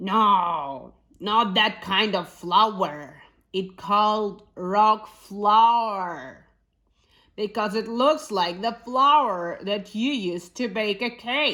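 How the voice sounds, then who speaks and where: Speaking very slowly, a woman uses a put-on character voice. Her pitch is medium. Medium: read story.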